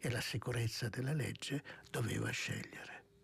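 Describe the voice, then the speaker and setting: In a plain, everyday voice, a man talks at a moderate pace with medium pitch and fairly even intonation. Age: 60s. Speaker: monk and author. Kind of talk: radio interview. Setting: studio.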